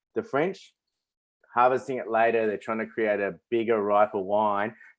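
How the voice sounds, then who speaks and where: A man with an Australian accent at medium pitch, moderate pace and ordinary pitch variation, set against a quiet background. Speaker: winemaker hosting a tasting. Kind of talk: virtual wine tasting presentation. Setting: webinar video stream.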